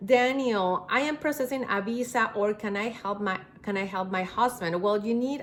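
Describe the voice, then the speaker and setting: A woman speaks in a Spanish accent. Her pace is moderate. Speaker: immigration attorney. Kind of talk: live Q&A stream. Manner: halting.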